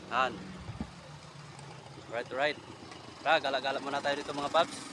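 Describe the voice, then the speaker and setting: Amid noticeable background noise, a man speaks in a flat monotone at a fairly high pitch and moderate pace. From Philippines, Zambales. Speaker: travel vlogger. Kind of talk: casual vlog narration. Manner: casual, conversational.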